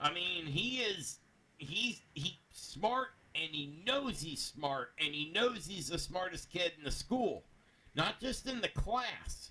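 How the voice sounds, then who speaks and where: Loud and bright with a sharp tone, a man talks very slowly at a high pitch, his voice swinging very widely. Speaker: anime review show co-host. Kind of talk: casual discussion.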